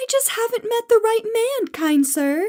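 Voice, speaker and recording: A woman does a put-on character voice at an extremely high pitch. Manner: playful, mock-feminine.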